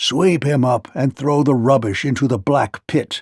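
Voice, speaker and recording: A man growls in a put-on character voice at a medium pitch and moderate pace, his loudness very even. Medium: read story. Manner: volatile, blustering.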